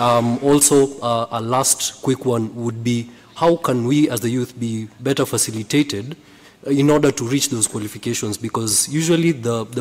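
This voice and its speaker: Against noticeable background noise, a man speaks at a medium pitch with fairly even intonation. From Kenya. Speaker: audience member asking a question. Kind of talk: audience question at a conference.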